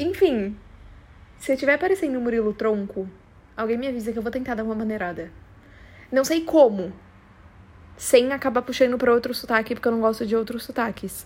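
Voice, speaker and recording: A woman's fairly high, animated voice at a fairly quick pace, with ordinary pitch variation and long, frequent pauses. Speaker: podcast host. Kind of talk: casual solo monologue.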